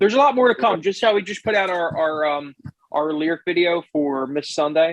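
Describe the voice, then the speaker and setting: A man's high voice with an American accent, at a fairly quick pace with lively intonation. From Philadelphia, Pennsylvania (Eastwick). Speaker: podcast host and musician. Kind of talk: casual chat.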